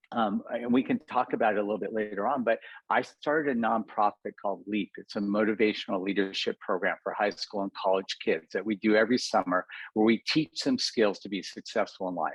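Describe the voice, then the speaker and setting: A man with a plain, everyday voice speaks at a fairly quick pace and fairly low pitch, the sound dry and close with no echo. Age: 60s. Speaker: cosmetic dentist and entrepreneur. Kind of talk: podcast interview.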